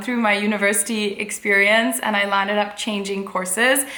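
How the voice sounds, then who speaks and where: The voice moves at a moderate pace, with audible room echo. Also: woman. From India, Mumbai. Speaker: fashion and lifestyle blogger. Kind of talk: casual chat to camera.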